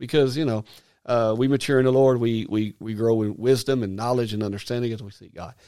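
A man talks at a fairly quick pace in an Arkansas accent, his medium-pitched voice dark and mellow. His intonation stays fairly even while his loudness swings widely. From Arkansas, US South. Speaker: minister. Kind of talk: casual chat. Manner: halting.

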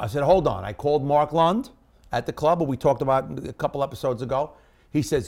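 A man with a fairly high-pitched, dark and mellow voice talks at a fairly quick clip with lively intonation and vocal fry. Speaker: stand-up comedian. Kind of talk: stand-up comedy, told as a conversational road story. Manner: animated, punchy storyteller, acts out dialogue with quick 'I go... he goes' quotes.

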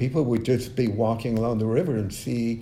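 At a fairly slow pace, a man talks in a medium-pitched, somewhat breathy voice with a dark, mellow tone and audible room echo. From Mexico. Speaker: visual artist. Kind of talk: interview. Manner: halting.

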